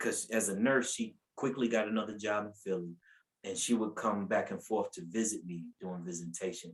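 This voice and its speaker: Ordinary pitch variation marks this fairly quick delivery. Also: man, fairly low pitch for a man. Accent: North Carolina. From US South, North Carolina (Asheville). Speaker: preacher. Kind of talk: testimony. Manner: animated storytelling.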